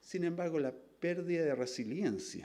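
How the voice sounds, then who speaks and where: A man's dark, mellow tone with vocal fry, lively intonation and a moderate pace. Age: 60s. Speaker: scientist. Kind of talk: lecture.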